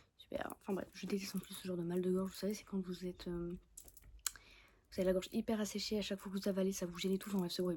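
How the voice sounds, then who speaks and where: A woman with a dark, mellow tone talks very fast at a medium pitch, sounding somewhat breathy. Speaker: book vlogger. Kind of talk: casual vlog chat. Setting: filming at home in bed. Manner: animated.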